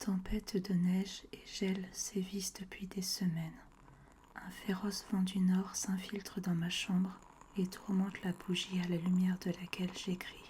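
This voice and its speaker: A soft-spoken woman talks at a medium pitch. Her intonation is monotone and flat. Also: fairly slow pace. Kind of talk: ASMR book reading by the fire. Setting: audio recorded separately from video. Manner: soft-spoken, relaxing.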